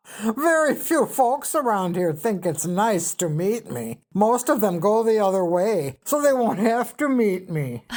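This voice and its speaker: A woman puts on a character voice at a medium pitch. She speaks fairly slowly with hardly any pauses. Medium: read story. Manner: coarse, blunt, ungrammatical.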